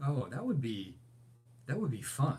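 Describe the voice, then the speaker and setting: A man's somewhat breathy voice at a medium pitch. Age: 60s. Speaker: overlanding channel host, graphic designer. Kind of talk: live stream Q&A chat. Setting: live stream. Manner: casual, hesitant with many fillers.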